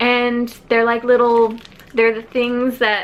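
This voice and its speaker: Noticeable background noise beneath a female speaker. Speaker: book YouTuber. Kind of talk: casual vlog storytime.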